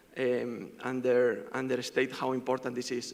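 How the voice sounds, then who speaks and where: A man's medium-pitched voice with a Spanish accent. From Spain. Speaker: fund manager. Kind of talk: panel discussion. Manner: fast.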